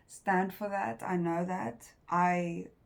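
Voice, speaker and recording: A woman's fairly low voice with fairly even intonation and a non-native accent. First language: not English. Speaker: tarot reader. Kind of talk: tarot reading. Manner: halting.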